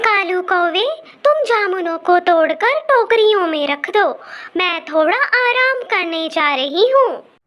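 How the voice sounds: A female-sounding cartoonish character voice is pitched extremely high for a woman. It moves at a fairly slow pace.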